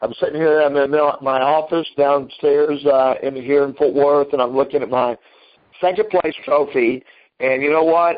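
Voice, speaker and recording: An ordinary speaking voice from a man, fairly high in pitch, at a moderate pace with fairly even intonation. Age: 60s. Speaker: karate grandmaster and school owner. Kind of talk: interview. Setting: remote interview, from his office.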